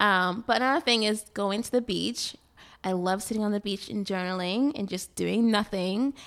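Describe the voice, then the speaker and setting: Heard on a very clean recording with a silent background, a woman with an American accent and an unremarkable speaking voice talks at a medium pitch and moderate pace, using ordinary pitch variation. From Boston, Massachusetts. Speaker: skincare business owner. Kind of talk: casual radio interview. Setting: radio studio.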